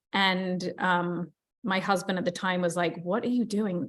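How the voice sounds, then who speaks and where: A woman talks at a medium pitch. She has a British accent. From England. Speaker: real estate agent and team leader. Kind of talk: motivational talk.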